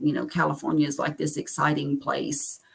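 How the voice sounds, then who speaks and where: This woman talks at a fairly quick pace with a Southern US accent. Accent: acquired Southern US. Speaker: carnivore diet vlogger. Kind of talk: live stream chat reading viewer comments. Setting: solo livestream.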